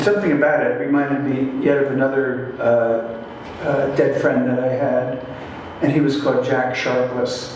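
A man speaks at a fairly high pitch and a fairly slow pace with fairly even intonation, amid strong room echo and light background noise. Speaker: poet reading his work. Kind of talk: poetry reading at a live event. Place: hall.

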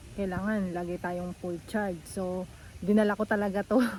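Her voice is somewhat breathy. A woman talks at a fairly slow pace. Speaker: vlogger. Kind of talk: casual vlog tutorial. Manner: animated.

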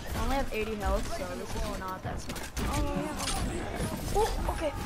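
A man talks at a moderate pace over loud background noise. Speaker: gamer. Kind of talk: casual gameplay commentary. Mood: playful, self-deprecating.

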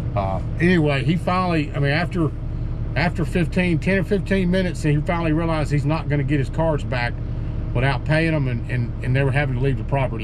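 A man talks fairly quickly. Noticeable noise sits behind him. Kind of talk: casual vlog chat. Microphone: phone near.

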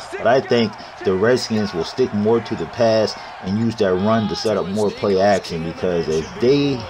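Fairly low-pitched man with an American accent and an animated tone, ordinary pitch variation and a moderate pace, over noticeable background noise. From Maryland, US. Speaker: gaming YouTuber giving NFL predictions. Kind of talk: casual sports prediction commentary. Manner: casual, animated.

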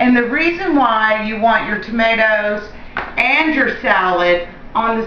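A woman with an American accent is heard with light background noise and audible room echo. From Louisiana. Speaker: home cooking show host. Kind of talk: cooking tutorial. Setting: home kitchen. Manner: warm, chatty. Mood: cheerful and friendly. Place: kitchen. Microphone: camera far.

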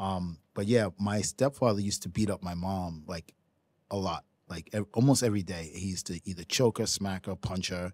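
In a New York accent, a man with a very deep, low voice speaks at a moderate pace with ordinary pitch variation, the sound dry with no echo. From New York City, Brooklyn. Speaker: professional ping pong player. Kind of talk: casual chat. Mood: serious, recounting hard childhood. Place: studio. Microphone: studio mic.

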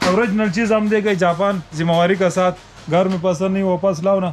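Clear music plays behind a man whose high-pitched voice keeps a fairly even intonation. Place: shop. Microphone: phone near.

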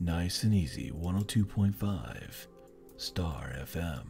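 Clear music plays behind a man doing a put-on character voice. His pitch is very deep and low, and he speaks at a very slow pace. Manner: smooth, easygoing.

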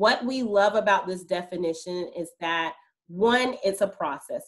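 A woman speaks at a medium pitch with fairly even intonation against a quiet background. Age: adult parent. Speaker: school social emotional learning specialist. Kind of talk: online presentation for parents. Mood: warm, upbeat, playful. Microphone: video call.

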